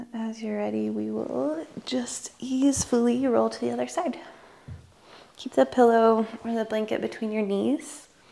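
A soft-spoken woman with a calm, gentle tone, at a fairly slow pace. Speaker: yoga instructor. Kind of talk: guided meditation. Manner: slow, soft, soothing; calm and gentle. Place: home room. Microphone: lapel.

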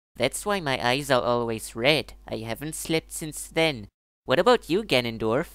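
A put-on character voice, low-to-middle in pitch, at a moderate pace on a very clean recording with a silent background.

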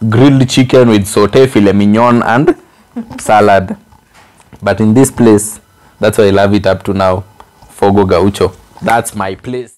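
Speaking at a fairly slow pace, a man with a fairly low pitch keeps his intonation fairly even and leaves long, frequent pauses. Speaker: vlogger co-host. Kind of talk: casual vlog chat. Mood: cheerful, laughing. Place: home room.

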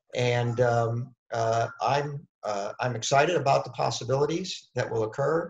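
A man's somewhat breathy voice with ordinary pitch variation, audible room echo and a quiet background. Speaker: space company founder; webinar panelist. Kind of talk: panel discussion. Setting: video webinar. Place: home room. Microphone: webcam.

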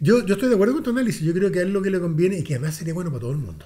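A man with a Chilean accent speaks with lively intonation. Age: 60s. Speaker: political commentator. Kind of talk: casual chat. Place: meeting room. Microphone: studio mic.

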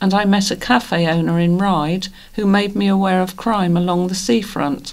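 Here is a normal speaking voice from a woman at medium pitch. She keeps a moderate pace and fairly even intonation. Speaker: volunteer news reader. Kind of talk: reading aloud.

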